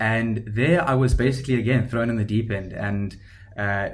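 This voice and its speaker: Audible room echo surrounds a man with a South African accent, whose somewhat breathy, fairly low voice keeps a moderate pace and fairly even intonation. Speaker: startup founder. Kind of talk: podcast interview. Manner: hesitant with fillers.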